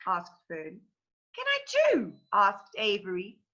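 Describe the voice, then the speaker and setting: A woman speaks in a raised, projected voice. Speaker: teacher. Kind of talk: read-aloud of a children's novel.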